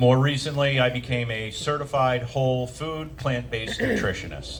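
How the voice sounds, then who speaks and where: A man with an American accent speaks at a moderate pace and fairly even intonation, with audible room echo and noticeable background noise. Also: medium pitch for a man. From Maine, US. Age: 60s. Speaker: navy veteran and nutritionist speaker. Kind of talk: presentation to audience.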